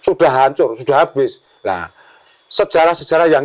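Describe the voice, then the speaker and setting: Heard dry and close with no echo, a man speaks at a very fast pace. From Java, Yogyakarta. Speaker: village head. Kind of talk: podcast interview. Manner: hesitant, many fillers.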